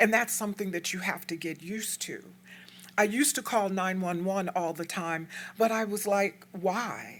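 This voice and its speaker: A woman with an American accent and a normal speaking voice, medium in pitch, at a moderate pace with fairly even intonation on a very clean recording with a silent background. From Texas, El Paso. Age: 60s. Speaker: community activist speaker. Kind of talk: lecture. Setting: stage with audience.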